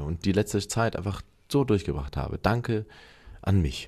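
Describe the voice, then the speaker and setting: A man speaks in a dark, mellow tone at a moderate pace. His intonation is lively. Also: quiet background. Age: 30s. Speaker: podcast co-host. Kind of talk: casual chat.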